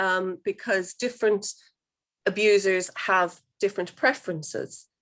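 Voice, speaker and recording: In an Irish accent, a woman speaks at a fairly slow pace. Her medium-pitched voice sits in a very clean recording with a silent background. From Ireland. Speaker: guest speaker, abuse survivor. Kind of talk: talk to students, personal testimony. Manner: halting, many fillers.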